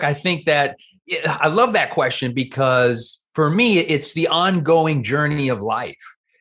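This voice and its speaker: This man's fairly high voice carries an animated tone and lively intonation. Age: 50s. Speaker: marketing professor. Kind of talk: casual interview.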